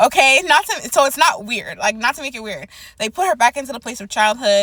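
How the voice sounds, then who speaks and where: With noticeable background noise behind her, a woman speaks at a fairly quick pace in a high pitch with lively intonation. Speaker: prophetic word YouTuber. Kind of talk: prophetic encouragement monologue.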